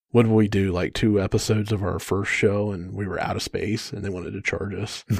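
A man with a plain, everyday voice and fairly low pitch talks at a fairly quick pace on a very clean recording with a silent background. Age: 40s. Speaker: podcast co-host, IT worker. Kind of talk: casual chat.

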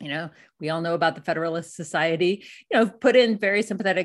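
A woman with an unremarkable speaking voice, medium pitch and ordinary pitch variation, at a fairly quick pace over a quiet background. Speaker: documentary filmmaker and debt activist. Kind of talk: interview.

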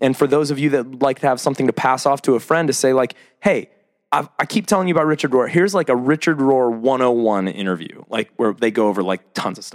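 A man with an American accent at a medium pitch, very fast and lively in intonation, on a very clean recording with a silent background. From US Midwest. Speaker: podcast host. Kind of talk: casual chat. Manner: animated.

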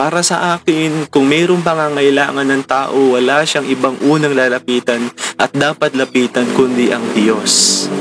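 A fairly high-pitched man at a fairly slow pace, amid noticeable background noise. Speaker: preacher leading a morning devotion. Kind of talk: devotional sermon. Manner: halting, frequent stammering and repeats.

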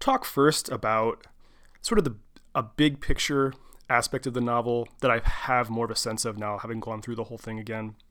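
A man's normal speaking voice at medium pitch, with fairly even intonation, over a very clean recording and a silent background. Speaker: podcast host. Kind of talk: solo podcast monologue. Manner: casual, chatty.

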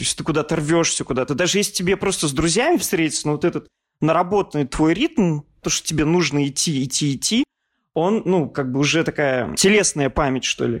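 A man with a normal speaking voice at a fairly high pitch, ordinary pitch variation and a fairly quick pace, on a very clean recording with a silent background and a dry, close sound with no echo. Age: 30s. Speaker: art historian and journalist. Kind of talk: casual interview.

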